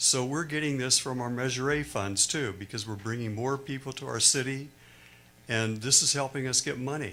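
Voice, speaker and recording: In a room with audible echo, a man with an American accent speaks at a moderate pace in a bright, sharp tone. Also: medium pitch for a man, ordinary pitch variation. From California. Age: 70s. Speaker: public commenter. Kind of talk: public comment at council meeting. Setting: city council meeting.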